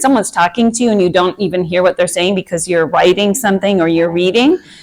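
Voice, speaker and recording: Over noticeable background noise, a woman talks in a Minnesotan accent with ordinary pitch variation. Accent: Minnesota. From Minnesota, US. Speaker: meditation and anxiety coach. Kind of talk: workshop talk to a group. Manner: casual, hesitant with fillers.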